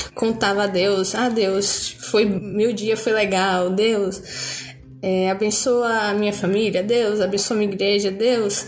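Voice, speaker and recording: Against noticeable background noise and audible room echo, a woman speaks at a very slow pace with medium pitch, fairly even intonation, very even loudness and hardly any pauses. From Bahia, Brazil. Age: 20s. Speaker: student and churchgoer. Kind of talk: casual chat.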